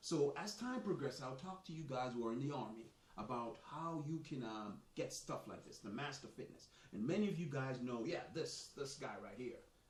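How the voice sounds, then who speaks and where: A man's fairly high, somewhat breathy voice with a slight Jamaican accent, animated in tone, with lively intonation at a moderate pace and audible room echo. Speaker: soccer coach and author, army veteran. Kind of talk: live stream monologue. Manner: casual, animated.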